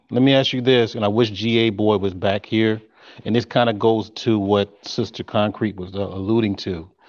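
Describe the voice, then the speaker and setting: In a normal speaking voice, a man talks at a moderate pace and fairly low pitch, his intonation fairly even. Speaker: panel guest. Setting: video call.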